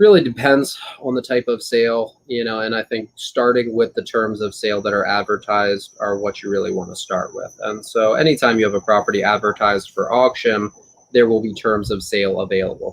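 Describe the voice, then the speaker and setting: A man's medium-pitched, normal speaking voice with fairly even intonation. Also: fairly quick pace. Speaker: auctioneer. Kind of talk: expert interview answer about real estate auctions.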